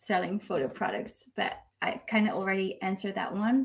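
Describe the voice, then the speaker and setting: In a Dutch accent, a woman speaks fairly slowly at a medium pitch, somewhat breathy, with ordinary pitch variation. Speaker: newborn photographer. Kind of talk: live video chat interview. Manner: hesitant, many fillers.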